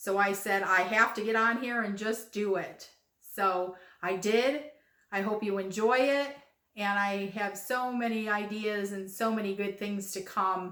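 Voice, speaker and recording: Medium-pitched female speech at a fairly slow pace, fairly even in intonation, with audible room echo. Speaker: craft video host. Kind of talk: casual vlog talk to viewers.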